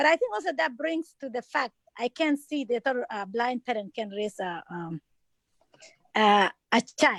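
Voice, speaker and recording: With a non-native accent, a high-pitched woman swings her pitch very widely and takes long, frequent pauses, in a dry, close sound with no echo. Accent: foreign. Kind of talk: town hall interview. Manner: halting, many fillers.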